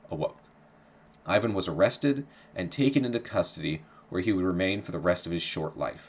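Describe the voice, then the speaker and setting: A fairly low-pitched man with an ordinary speaking voice. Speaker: history podcast host. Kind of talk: history narration.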